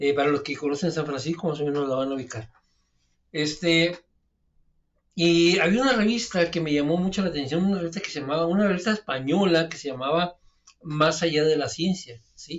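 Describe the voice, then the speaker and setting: A man with a relaxed tone and a northern Mexican accent, high-pitched, at a fairly quick pace. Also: ordinary pitch variation. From Mexico, Mexicali (northern border). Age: 50s. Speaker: alternative health adviser, channel host. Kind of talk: casual storytelling monologue. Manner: relaxed, with many fillers and hesitations.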